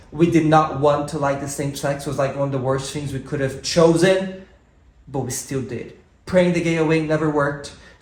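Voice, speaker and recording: A man with a Brazilian accent, fairly high in pitch and animated in tone, at a moderate pace. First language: Portuguese. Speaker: podcast co-host and musician. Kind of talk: casual chat.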